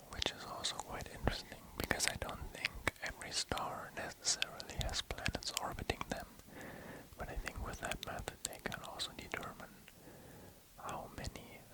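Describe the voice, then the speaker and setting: A man whispering at a moderate pace can be heard through noticeable background noise. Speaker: ASMR artist. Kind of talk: ASMR sleep reading of space facts. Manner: soft-spoken, whispered.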